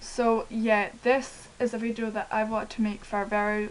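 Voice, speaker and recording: A woman's fairly high voice in a Scottish accent. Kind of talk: casual talk to camera.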